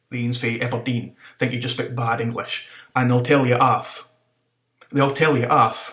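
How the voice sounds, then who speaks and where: This man has a northeast Scottish accent and a medium pitch. He talks at a moderate pace. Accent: Doric Scots. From North-East Scotland. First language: Scots (Doric). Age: 20s. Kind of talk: casual talk to camera.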